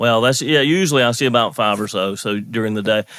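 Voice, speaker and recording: In a slight Southern US accent, a man speaks with lively intonation, the sound dry and close with no echo. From US South, North Carolina. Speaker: marriage and family counselor. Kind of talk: podcast interview.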